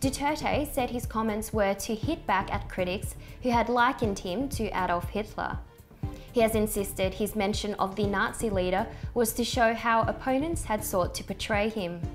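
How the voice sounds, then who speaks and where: Music plays behind a woman with a fairly high voice. She keeps a moderate pace, and her pitch varies in an ordinary way. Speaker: news presenter / journalist. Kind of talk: news broadcast reading. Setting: studio.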